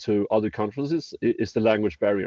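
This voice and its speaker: A man with a strong Swedish accent speaks at a moderate pace with a medium pitch and ordinary pitch variation. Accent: very Swedish. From Sweden. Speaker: startup executive in construction tech. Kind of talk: interview. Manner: halting, with many repeated words.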